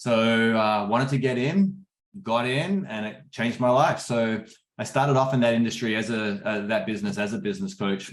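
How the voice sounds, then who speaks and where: Lively intonation runs through this man's speech. He talks with an Australian accent. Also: medium pitch for a man, moderate pace. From Australia, Perth. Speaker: business coach. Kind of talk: webinar interview.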